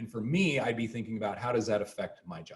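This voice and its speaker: A man's medium-pitched voice moves with ordinary pitch variation. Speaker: professor. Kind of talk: lecture. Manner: fast.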